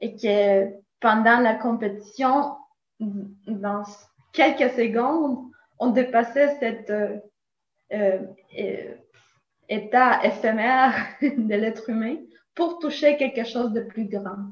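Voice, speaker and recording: With a slight Latin American accent, a woman speaks very slowly in a fairly high, somewhat breathy voice with ordinary pitch variation and long, frequent pauses. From Nicaragua. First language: Spanish (speaking French). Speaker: philosophy teacher. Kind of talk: interview.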